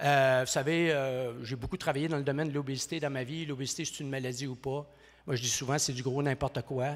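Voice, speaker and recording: Speaking at a fairly quick pace with hardly any pauses, a man with a fairly high pitch comes through on a very clean recording with a silent background. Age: 60s. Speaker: professor. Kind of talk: conference speech. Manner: fast; animated.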